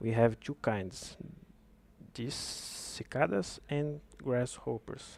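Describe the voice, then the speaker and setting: A man with a non-native accent, medium pitch, a very slow pace and long, frequent pauses. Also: ordinary pitch variation. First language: not English. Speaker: game developer. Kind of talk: tutorial. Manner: halting.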